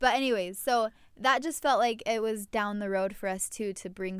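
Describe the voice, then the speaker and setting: A woman with a plain, everyday voice, medium pitch, ordinary pitch variation and a moderate pace, on a very clean recording with a silent background. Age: 20s. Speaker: baker and podcast co-host. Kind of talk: casual chat.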